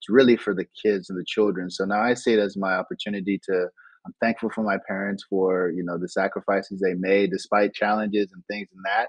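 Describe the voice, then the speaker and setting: A man's fairly low voice at a fairly quick pace, with big swings in loudness. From Nigeria and London, moved to US at 13. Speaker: digital entrepreneur. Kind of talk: casual interview. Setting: remote call from Bali. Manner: animated, does voices.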